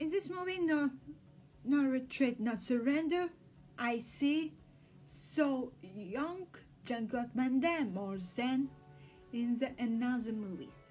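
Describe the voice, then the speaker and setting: Over music in the background, a woman with a high pitch speaks at a very slow pace with long, frequent pauses and lively intonation. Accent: Russian. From Russia. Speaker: film researcher. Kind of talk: casual talk to camera.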